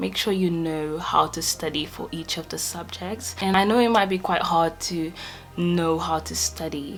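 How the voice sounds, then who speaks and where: Over faint background music, a woman talks at a moderate pace. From Portugal. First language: Portuguese. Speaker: medical student; student vlogger. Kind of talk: casual talk to camera. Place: home room.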